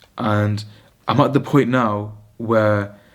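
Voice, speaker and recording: In a British accent, a man talks at a medium pitch with flat, monotone intonation on a very clean recording with a silent background. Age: 20s. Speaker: vlogger, medical student. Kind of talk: casual vlog monologue. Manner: rambling, hesitant with fillers.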